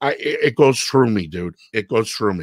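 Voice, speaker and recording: A man with a Chicago accent talks at a moderate pace in an animated tone with lively intonation. The sound is dry with no echo, over a quiet background. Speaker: radio producer and show host; radio producer, show host. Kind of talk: casual interview chat. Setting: live online show. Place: home room. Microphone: video call.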